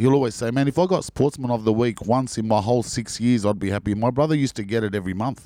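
A man with an Australian accent at a very fast pace, medium in pitch, with a dark, mellow tone and ordinary pitch variation. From Sydney, Australia. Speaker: actor. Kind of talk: casual chat.

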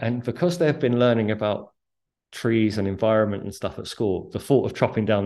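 A man with a British accent, fairly low pitch, ordinary pitch variation and a moderate pace, against a quiet background. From UK. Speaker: author and former investment strategist. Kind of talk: casual interview.

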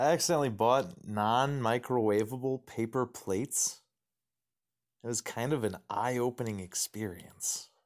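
Over a very clean recording and silent background, a man with an unremarkable speaking voice talks at a moderate pace with ordinary pitch variation. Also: medium pitch for a man. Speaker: listener submitting joke, reads own joke. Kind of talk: reading a written joke.

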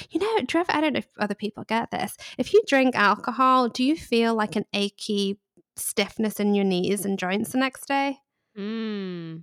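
A woman with a British accent, fairly high pitch and ordinary pitch variation, at a moderate pace, dry and close with no echo, on a very clean recording with a silent background. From England. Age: 30s. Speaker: guest. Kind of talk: casual chat interview.

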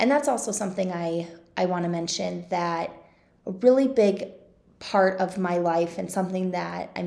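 Her tone dark and mellow, a woman speaks at a moderate pace in a medium pitch with ordinary pitch variation. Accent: Midwestern American. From Kansas City suburbs, Johnson County. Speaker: podcast host, local influencer. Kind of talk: casual monologue.

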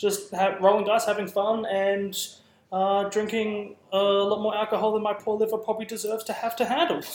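Talking at a fairly quick pace, a man keeps a high pitch with monotone, flat intonation. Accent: Australian. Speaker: guest, competitive tabletop gamer. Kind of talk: casual banter. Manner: jokey, self-deprecating.

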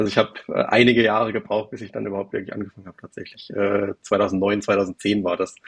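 A man with a fairly low pitch talks at a very fast pace with hardly any pauses and a monotone, flat intonation. His loudness swings widely in a dry, close sound with no echo. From Baden, south of Karlsruhe. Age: 30s. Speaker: private investor. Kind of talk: casual interview. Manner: hesitant, many fillers.

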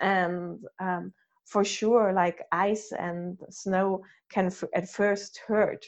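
In a German accent, a woman speaks at a very slow pace with a medium pitch. Her intonation is monotone and flat, and the background is quiet. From Germany. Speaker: breathwork and ice bath instructor. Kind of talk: casual interview. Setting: video call.

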